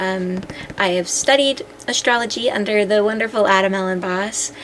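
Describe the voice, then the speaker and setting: At a medium pitch and moderate pace, a woman talks with ordinary pitch variation over noticeable background noise. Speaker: astrology content creator. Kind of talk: casual vlog talk to camera.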